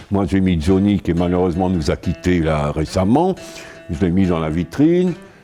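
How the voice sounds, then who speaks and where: Music plays in the background as a man talks at a fairly slow pace. His pitch is very deep and low, with ordinary pitch variation. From Paris. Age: 80s+. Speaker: photographer. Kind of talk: interview answer. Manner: lively, colourful storyteller.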